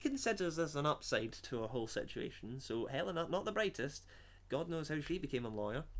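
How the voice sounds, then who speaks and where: A man's dramatic delivery at a fairly quick pace. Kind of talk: comedic dramatic reading of a story, with asides. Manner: mock-dramatic reading interrupted by sarcastic commentary.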